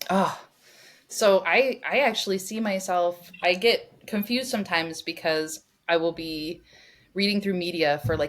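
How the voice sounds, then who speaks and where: A woman with an American accent talks at a moderate pace, her medium pitch varying in an ordinary way. The recording is very clean, with a silent background. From Northern California. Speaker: neuroscientist. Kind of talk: interview conversation. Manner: loud.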